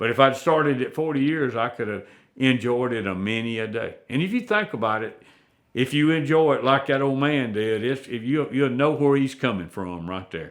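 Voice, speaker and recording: A man with an Alabama accent talks with lively intonation. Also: medium pitch for a man, moderate pace. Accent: southern US (Alabama). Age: 70s. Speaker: turkey hunter and call maker. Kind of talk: storytelling in a casual interview. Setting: at his home.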